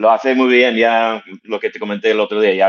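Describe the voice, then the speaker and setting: A man's fairly low, monotone voice with a non-native accent and flat intonation, at a moderate pace. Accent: foreign accent in Spanish. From US, Connecticut. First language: English (speaking Spanish). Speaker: fitness franchise executive. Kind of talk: interview.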